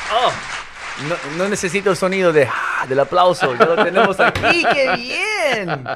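A man's raised, projected voice at a high pitch, lively in intonation and fairly slow in pace, over crowd noise in the background. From Los Angeles, California; from age 12 Miami. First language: English (speaking Spanish). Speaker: realtor and mentor; radio show host or guest. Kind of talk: interview, casual chat. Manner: switches between Spanish and English. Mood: laughing, playful. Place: studio. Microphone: studio mic.

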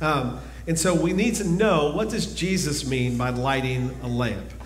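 A man's voice with ordinary pitch variation, light background noise and audible room echo. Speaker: preacher. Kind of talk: sermon. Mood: calm, earnest. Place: church.

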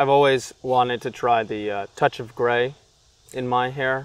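At a moderate pace, a man with a medium pitch speaks in monotone, flat intonation with a dry sound and no echo. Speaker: interviewer, comedian journalist. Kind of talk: casual interview questions. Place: garden. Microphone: camera far.

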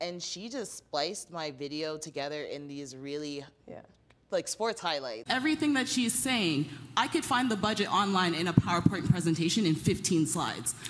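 A woman speaks at a moderate pace in a fairly low voice, her pitch swinging very widely and her loudness rising and falling sharply over light background noise. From Toronto, Canada. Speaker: mayoral candidate and policy analyst; candidate, policy analyst. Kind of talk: casual interview chat. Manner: animated. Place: studio. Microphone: handheld.

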